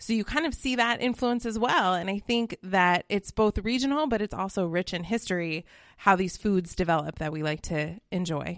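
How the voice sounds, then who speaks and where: An ordinary speaking voice with an American accent moves at a moderate pace with hardly any pauses and lively intonation, recorded very cleanly against a silent background with a dry, close sound and no echo. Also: woman, medium pitch for a woman. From Colorado. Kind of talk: casual chat.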